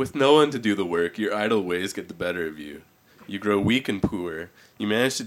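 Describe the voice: The clip is plain reading aloud. The words are read out as written.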